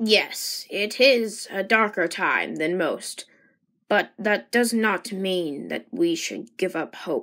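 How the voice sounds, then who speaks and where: A woman puts on a raspy character voice at a medium pitch, speaking at a very slow pace. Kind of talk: character dialogue in fan animation. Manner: formal, calm, measured.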